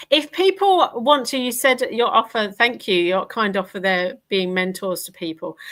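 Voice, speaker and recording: A woman speaks in an Essex accent. Her tone is bright and sharp. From Essex, England. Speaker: podcast host. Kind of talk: live interview. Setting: live stream video call.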